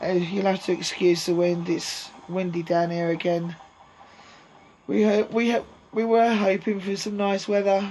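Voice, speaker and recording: Monotone and flat, a woman speaks at a medium pitch and a fairly slow pace over noticeable background noise. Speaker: allotment vlogger. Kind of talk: casual vlog. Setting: outdoors at allotment shed. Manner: hesitant, many ums.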